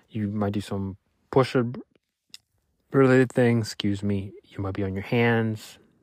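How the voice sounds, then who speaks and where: In a Spanish accent, a man speaks fairly slowly at a fairly low pitch, his intonation fairly even and his speech broken by long, frequent pauses, on a very clean recording with a silent background. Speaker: solo podcaster. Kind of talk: personal weekly reflection monologue. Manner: halting, many fillers and restarts.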